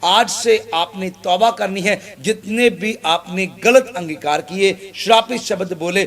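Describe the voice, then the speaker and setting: A man's voice, high in pitch. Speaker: pastor. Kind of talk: sermon preaching to an audience.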